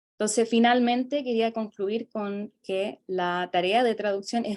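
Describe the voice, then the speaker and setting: In a South American accent, a woman at medium pitch talks fairly slowly on a very clean recording with a silent background. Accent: South American Spanish, uncommon locally. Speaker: student presenter. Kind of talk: academic conference presentation. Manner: halting, many fillers.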